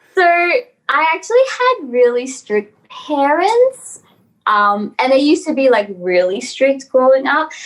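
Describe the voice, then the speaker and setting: A high-pitched woman with an Australian accent, fairly slow, with very wide pitch swings. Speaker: model and actress. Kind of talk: interview.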